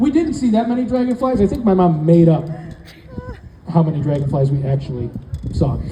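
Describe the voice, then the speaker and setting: Talking at a fairly quick pace in a high pitch, a man swings his pitch very widely, with noticeable background noise and audible room echo. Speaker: comedian. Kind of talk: stand-up. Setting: stage with audience. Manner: talkative.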